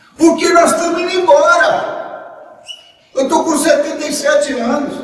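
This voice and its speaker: A man speaks at an extremely high pitch in a flat monotone, at a fairly slow pace. Audible room echo and noticeable background noise surround him. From Brazil, Federal District (Cidade Livre), born in Minas Gerais. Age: 70s. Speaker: historian giving a talk. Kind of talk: lecture.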